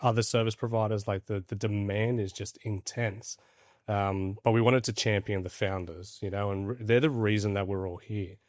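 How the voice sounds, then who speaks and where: A man with an Australian accent speaks at a moderate pace, his pitch fairly low and his intonation fairly even. The recording is very clean, with a silent background. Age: 40s. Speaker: crypto platform founder. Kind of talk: podcast interview. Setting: studio in Dubai.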